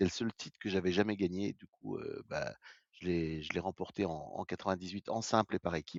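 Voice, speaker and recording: Very deep and low, a man's voice moves at a fairly quick pace with ordinary pitch variation and big swings in loudness. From France, Vosges. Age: 60s. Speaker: retired paralympic athlete. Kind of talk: interview. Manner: halting, many hesitations.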